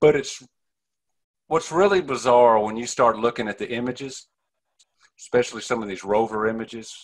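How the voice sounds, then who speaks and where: Here a man talks at a moderate pace with an East Texas accent. His pitch is medium. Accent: East Texas Southern. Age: 50s. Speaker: ufologist. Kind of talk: interview.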